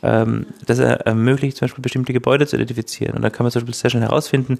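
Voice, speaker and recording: Speaking very fast at a medium pitch, a man shows ordinary pitch variation in a dry, close sound with no echo. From Austria, Styria. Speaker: legal scholar. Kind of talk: expert interview.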